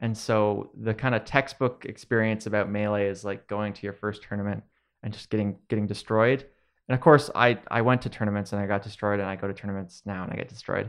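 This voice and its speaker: At a fairly quick pace, a man speaks at a fairly low pitch in an unremarkable speaking voice. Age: 20s. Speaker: video game content creator and commentator. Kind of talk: casual interview.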